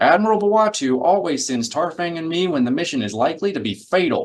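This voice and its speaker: In a put-on character voice, a man rattles along at a very fast pace with a high pitch and very wide pitch swings. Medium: read story.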